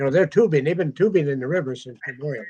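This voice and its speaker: Speaking very fast, a man with an Upper Midwest accent has a somewhat breathy voice of fairly high pitch and ordinary pitch variation. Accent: Upper Midwest American. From Minnesota, US. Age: 80s+. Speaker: metal detecting author. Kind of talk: casual chat.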